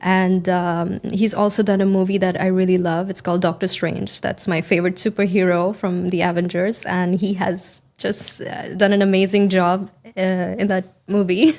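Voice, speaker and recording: Over noticeable background noise, a woman of medium pitch speaks at a moderate pace in a monotone, flat intonation with hardly any pauses. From India. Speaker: IELTS test candidate. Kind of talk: interview answer. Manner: fluent.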